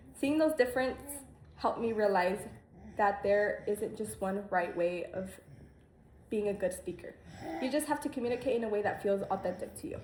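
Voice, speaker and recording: Long, frequent pauses break up a woman's speech. Her voice is fairly high in pitch and somewhat breathy. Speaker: student. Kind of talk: class speech. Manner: fast; halting.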